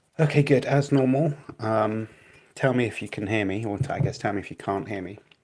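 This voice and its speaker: A quiet man's medium-pitched voice at a fairly quick pace, with big swings in loudness. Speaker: streamer critiquing debates. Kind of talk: casual live stream commentary. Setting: live stream from small flat. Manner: hesitant, many fillers.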